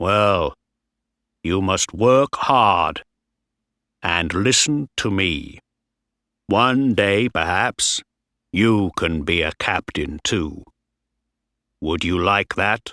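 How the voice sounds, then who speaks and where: Putting on a character voice, a man speaks at a very slow pace with long, frequent pauses, his fairly low pitch carried by lively intonation. The sound is dry and close with no echo, over a quiet background. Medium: read story. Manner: stern, loud, commanding.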